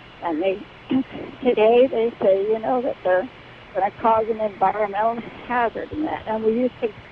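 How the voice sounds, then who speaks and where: Over noticeable background noise, a woman with a fairly high pitch speaks with long, frequent pauses. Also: ordinary pitch variation, moderate pace. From Alaska. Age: 70s. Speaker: caller. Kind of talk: call-in radio conversation. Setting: phone call.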